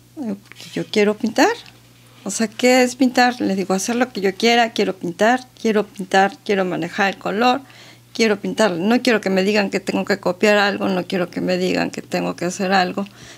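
A woman talks at a moderate pace with vocal fry. Her intonation stays fairly even. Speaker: interview guest. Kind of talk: interview answer. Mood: warm, amused. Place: studio. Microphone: studio mic.

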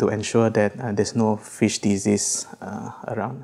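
The voice moves at a moderate pace in a flat monotone. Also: man. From Malaysia, Sarawak. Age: 30s. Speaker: civil servant, fisheries lab officer. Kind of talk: interview. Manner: halting, many fillers.

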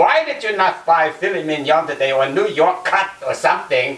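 A man talks at a moderate pace with a high pitch. Room echo is audible. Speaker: guest. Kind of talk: cooking tutorial with comic banter. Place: kitchen.

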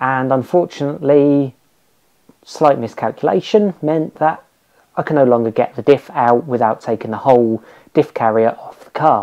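A man's dark, mellow tone comes through with ordinary pitch variation and big swings in loudness. The background is quiet. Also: moderate pace. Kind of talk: casual explanatory vlog chat. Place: garage.

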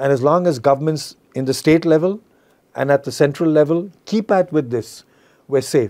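In a quiet setting, a man speaks at a moderate pace with ordinary pitch variation. His fairly high voice carries a dark, mellow tone. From India. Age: 60s. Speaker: investment firm founder. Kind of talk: interview. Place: studio. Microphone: lapel.

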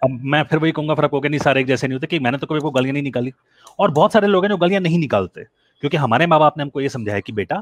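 Here a man speaks with lively intonation. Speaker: caller. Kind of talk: animated argument in call-in chat. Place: home room. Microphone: headset.

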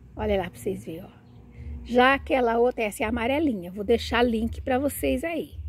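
A woman with vocal fry and lively intonation at a fairly quick pace, in a dry sound with no echo. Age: 60s. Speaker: plant vlogger. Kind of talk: casual video tutorial. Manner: animated. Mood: warm, enthusiastic. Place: garden. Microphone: phone near.

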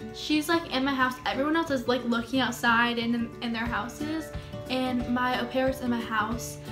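Clear music sounds in the background as a woman speaks at a moderate pace. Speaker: YouTuber. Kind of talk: casual storytime talk to camera. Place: home room. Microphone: phone near.

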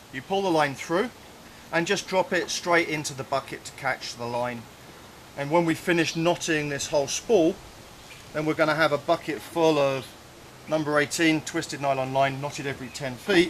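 Light background noise can be heard. At a moderate pace, a man talks with ordinary pitch variation. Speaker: cave diving instructor. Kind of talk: tutorial. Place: forest.

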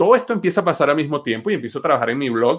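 A man talks in a fairly high pitch with very wide pitch swings. The background is quiet. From Venezuela. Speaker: entrepreneur and engineer; podcast guest. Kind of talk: interview. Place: home room. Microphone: webcam.

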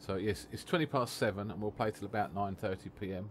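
A man speaks in an English accent. His pitch is fairly low. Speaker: streamer. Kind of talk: casual chat. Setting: live stream. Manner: calm.

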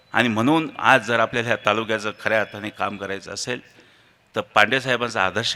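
A man's fairly low voice with a bright, sharp tone and ordinary pitch variation. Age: 40s. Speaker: local politician and engineer. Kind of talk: memorial speech.

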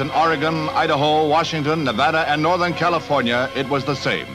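Clear music plays in the background as a man talks at a fairly high pitch with ordinary pitch variation. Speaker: newsreel narrator. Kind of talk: vintage newsreel narration. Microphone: old recording.

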